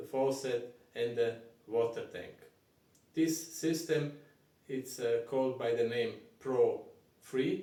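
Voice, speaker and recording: A man with a non-native accent speaks at a very slow pace and fairly even intonation. The room echo is audible. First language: not English. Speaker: plumber. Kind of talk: tutorial. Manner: halting.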